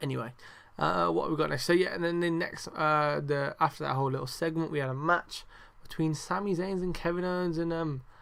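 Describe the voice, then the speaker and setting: In a British accent, a man talks at a fairly quick pace. His pitch is fairly high. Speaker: wrestling podcast host. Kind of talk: casual review monologue. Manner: talking quietly; animated.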